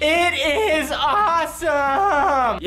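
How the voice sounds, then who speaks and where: The put-on character voice is high-pitched and squeaky, with clear background noise. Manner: enthusiastic.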